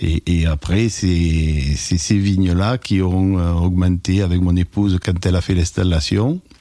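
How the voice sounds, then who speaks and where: A man speaks very slowly with hardly any pauses. His pitch is very deep and low, and his intonation stays fairly even. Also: very even loudness. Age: 60s. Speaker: retired winegrower. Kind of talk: personal testimony. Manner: halting, with hesitations.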